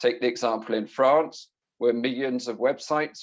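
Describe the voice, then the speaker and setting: This voice belongs to a man. He talks in a British accent. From Britain. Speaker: IT security consultant. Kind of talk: conference presentation. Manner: fast.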